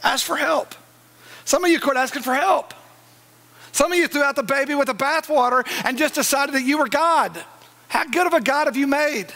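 A man with an American accent, extremely high pitch and a raised, projected voice, fairly quick pace broken by long, frequent pauses, and very even loudness. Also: ordinary pitch variation. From East Texas. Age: 40s. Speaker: pastor. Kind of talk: sermon. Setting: church with live congregation. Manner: animated. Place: church.

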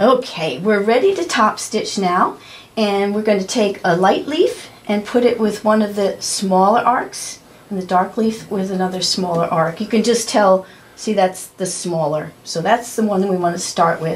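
A woman's voice at a moderate pace, with ordinary pitch variation. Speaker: quilting instructor. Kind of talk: tutorial.

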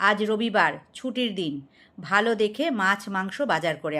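Someone reads in an unforced voice.

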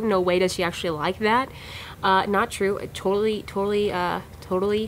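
A woman speaks with light background noise behind her. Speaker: vlog host. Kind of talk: casual vlog chat. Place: office. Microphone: phone near.

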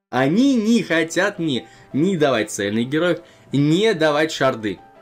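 Behind the man's voice, music plays faintly. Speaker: game streamer. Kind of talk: gameplay commentary.

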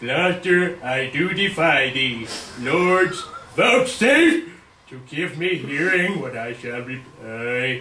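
A man's put-on character voice, fairly high-pitched, very slow, with audible echo. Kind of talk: overacted Shakespeare reading. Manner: defiant, rising to outrage.

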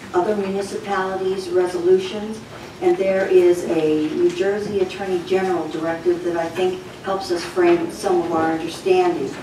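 Over noticeable background noise and audible room echo, a woman speaks at a moderate pace. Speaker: retired resident giving public comment. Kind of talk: prepared public comment. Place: meeting room.

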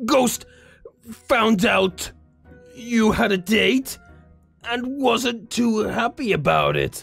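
Faint music plays behind a put-on character voice at a fairly high pitch. The delivery is very slow, with long, frequent pauses. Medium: role play. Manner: playful, teasing.

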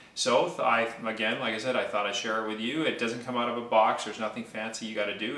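In a room with audible echo, a man talks at a very fast pace. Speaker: mortgage broker hosting a cooking video. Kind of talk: tutorial. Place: kitchen. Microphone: camera far.

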